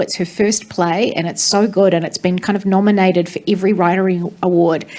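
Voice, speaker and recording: Speaking in a New Zealand accent, a woman with a medium pitch goes at a fairly quick pace with ordinary pitch variation. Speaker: theatre director. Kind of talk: panel discussion.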